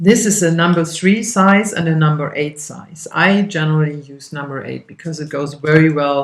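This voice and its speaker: Speaking at a moderate pace, a woman with a German accent has a very deep, low pitch. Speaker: craft instructor. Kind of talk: tutorial. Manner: casual, with fillers and hesitations.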